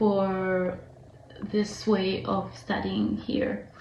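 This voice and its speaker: A very slow pace amid noticeable background noise and audible room echo. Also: woman. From Israel. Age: 20s. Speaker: vlogger, foreign student. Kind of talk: casual vlog monologue. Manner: hesitant, many fillers.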